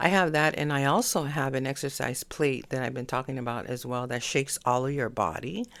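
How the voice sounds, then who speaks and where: A soft-spoken woman with a very deep, low pitch, fairly quick and with hardly any pauses, ordinary pitch variation, in a very clean recording with a silent background. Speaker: astrology podcaster. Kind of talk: casual solo podcast monologue. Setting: home desk at night. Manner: soft-spoken, low volume; hesitant, many fillers.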